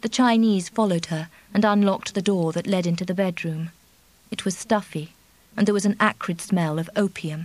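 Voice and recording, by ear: Natural voice reading aloud, with pitch varying in an ordinary way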